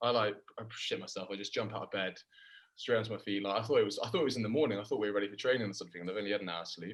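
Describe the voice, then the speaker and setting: Talking very fast, a man with a strong English accent uses a fairly low pitch and fairly even intonation. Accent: thick English. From England. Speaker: professional rugby player. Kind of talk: casual chat.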